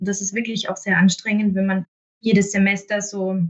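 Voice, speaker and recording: Her voice is medium in pitch and somewhat breathy, and the woman keeps a monotone, flat intonation. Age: 30s. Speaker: municipal health manager. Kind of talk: interview. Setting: remote recording.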